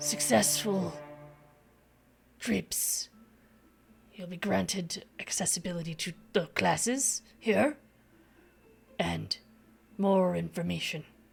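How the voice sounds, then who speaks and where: A raspy, put-on character voice sits at a middle pitch. It moves at a fairly slow pace with long, frequent pauses. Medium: actual play. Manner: slow, formal, grandfatherly.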